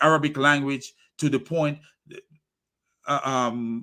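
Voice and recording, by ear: A man at a slow pace with a medium pitch, fairly even intonation and a bright, sharp tone.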